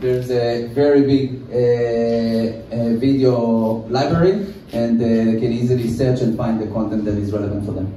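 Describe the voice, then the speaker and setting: A man speaks at a moderate pace with hardly any pauses. Room echo is audible, along with light background noise. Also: fairly even intonation. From Israel. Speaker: tech company CEO; presenter. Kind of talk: conference presentation. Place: hall.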